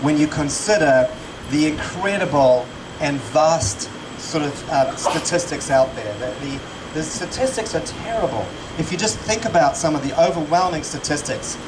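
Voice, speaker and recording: A man speaks amid noticeable background noise. Room echo is audible. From South Africa. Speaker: charity supporter and speaker. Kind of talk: fundraising event speech. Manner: halting, many fillers and repeats.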